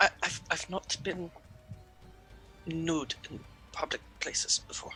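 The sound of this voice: Using a put-on character voice, a man speaks slowly at a fairly high pitch in a bright, sharp tone with ordinary pitch variation, while faint music plays in the background.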